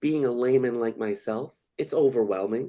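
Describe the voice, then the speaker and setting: The man's voice has a dark, mellow tone. The background is quiet. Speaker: real estate brokerage host. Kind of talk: webinar panel discussion. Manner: fast.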